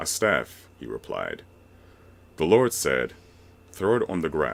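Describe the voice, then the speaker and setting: With vocal fry and very wide pitch swings, a man talks very slowly in a very deep, low pitch. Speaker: voice narrator. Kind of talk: reading aloud.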